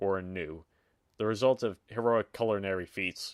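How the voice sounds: This is a natural reading voice against a quiet background.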